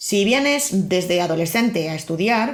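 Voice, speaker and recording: A woman with a Castilian accent speaks in a somewhat breathy voice with ordinary pitch variation, and audible room echo surrounds her. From Spain. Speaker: podcast host. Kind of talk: scripted narration.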